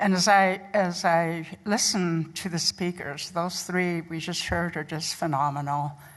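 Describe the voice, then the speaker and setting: A woman speaks in a Lakota accent with a fairly low pitch and fairly even intonation. Her pace is fairly slow, with hardly any pauses. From Pine Ridge, South Dakota (Oglala Lakota). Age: 70s. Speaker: nurse educator. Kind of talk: conference talk.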